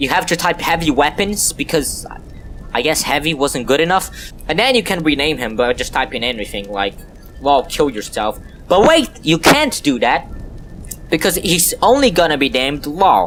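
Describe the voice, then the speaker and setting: Over music in the background, a man with a non-native accent talks at a moderate pace in a fairly high pitch with lively intonation. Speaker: gaming YouTuber. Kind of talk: game tutorial commentary. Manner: casual, joking.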